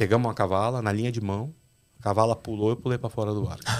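A quiet background sits behind the voice. The speaker's intonation stays monotone and flat. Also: man. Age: 40s. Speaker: fishing captain; podcast guest. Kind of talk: casual chat. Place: studio. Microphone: studio mic.

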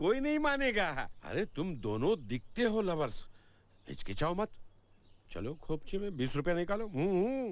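A man's very slow delivery with very wide pitch swings, in a dry sound with no echo. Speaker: comic policeman character in a film. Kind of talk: acted film dialogue, comic. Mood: teasing, jovial. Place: garden.

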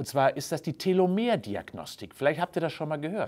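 Lively intonation runs through a man's fairly quick speech. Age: 60s. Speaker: health science professor. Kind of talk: explainer video. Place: gym. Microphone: lapel.

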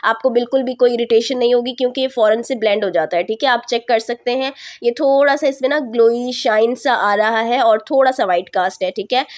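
Her voice high in pitch, a woman talks with hardly any pauses. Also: ordinary pitch variation, moderate pace. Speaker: beauty YouTuber. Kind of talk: product review. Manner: casual, chatty.

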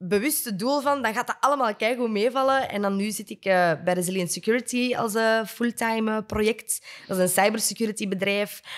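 With a Flemish accent, a woman speaks in a fairly high voice with ordinary pitch variation. She barely pauses, and the background is quiet. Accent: Flemish Dutch. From Flanders, Belgium. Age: 20s. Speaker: podcast co-host. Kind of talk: casual interview. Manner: enthusiastic. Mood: cheerful, animated. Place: studio. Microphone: studio mic.

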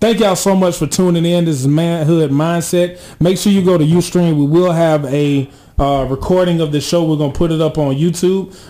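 A man with an American accent talks at a fairly quick pace in a high-pitched, dark, mellow tone. His intonation is fairly even and his loudness very even. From Georgia, US South (Atlanta area); Georgia. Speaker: college radio co-host. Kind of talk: casual radio talk show chat.

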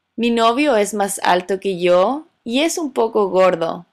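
A woman talks at a very slow pace with medium pitch and lively intonation. The recording is very clean, with a silent background. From Chile. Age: 30s. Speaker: Spanish teacher. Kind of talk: scripted monologue for language learners. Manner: slow, clear.

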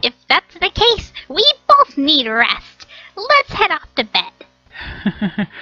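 A loud, put-on character voice drags along at a very slow pace. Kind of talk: comic overacting. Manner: loud, excitable, boastful.

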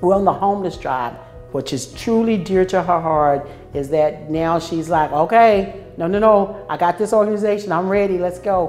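A woman at medium pitch with ordinary pitch variation and a moderate pace, faint music in the background. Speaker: prison warden. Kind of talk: interview answer. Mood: warm, praising colleagues. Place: office.

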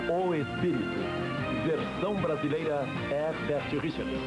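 Against loud music in the background, a man speaks at a very slow pace. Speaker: voice-over announcer. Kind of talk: dub studio credit announcement. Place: studio.

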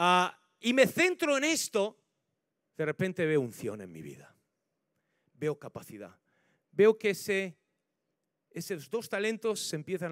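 Recorded dry and close with no echo, a man speaks with very wide pitch swings and long, frequent pauses. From Spain, La Mancha (Ciudad Real). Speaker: pastor. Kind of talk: sermon. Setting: church.

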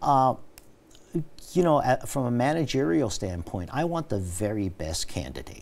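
Speaking at a moderate pace, a man with an American accent makes very wide pitch swings. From New York City. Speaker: police commissioner; guest. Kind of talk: interview. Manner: halting. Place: studio. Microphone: lapel.

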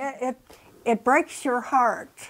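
In a high pitch, a woman speaks at a very slow pace against a quiet background. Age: 80s+. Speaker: animal rescuer. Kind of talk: documentary interview. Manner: animated. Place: home room. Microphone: lapel.

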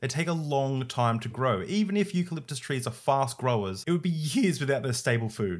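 Against a quiet background, a man with an Australian accent talks at a fairly quick pace with hardly any pauses, sounding somewhat breathy, with lively intonation. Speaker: YouTuber discussing religion and science. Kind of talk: video essay / commentary; interview question. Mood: calm, explanatory. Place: home room.

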